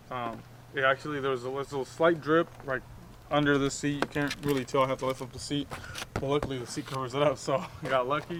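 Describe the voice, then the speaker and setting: The speech comes at a very fast pace in a monotone, flat intonation, with noticeable background noise behind it. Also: man, fairly high pitch for a man. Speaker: motorcycle YouTuber. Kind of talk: casual vlog. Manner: quiet; hesitant, many fillers.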